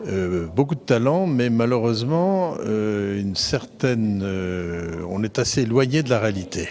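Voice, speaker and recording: A man talks at a very slow pace with medium pitch, lively intonation and hardly any pauses. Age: 70s. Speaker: retired business owner. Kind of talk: interview. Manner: hesitant, many fillers.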